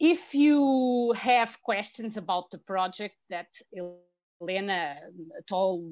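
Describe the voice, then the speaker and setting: A woman with a Portuguese accent at a very slow pace with lively intonation. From Portugal, Lisbon. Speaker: language lecturer. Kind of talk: virtual presentation. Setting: video call from home. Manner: halting.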